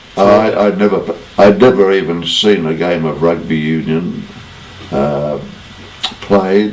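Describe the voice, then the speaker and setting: Amid noticeable background noise and audible room echo, a man with an Australian accent speaks very slowly in a very deep, low pitch, with long, frequent pauses. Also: ordinary pitch variation. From Australia, Sydney. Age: 90s. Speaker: former rugby player. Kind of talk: interview.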